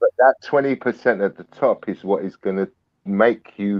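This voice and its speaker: A man with a British accent speaks in an energetic tone with ordinary pitch variation. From UK. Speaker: snake breeder. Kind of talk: podcast interview. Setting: live video podcast.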